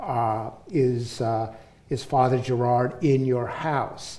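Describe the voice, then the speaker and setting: The speaker has a New York accent. Some room echo can be heard. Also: man. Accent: New York American. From US, New York City. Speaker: professor and author. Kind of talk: public talk with audience. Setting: stage with audience.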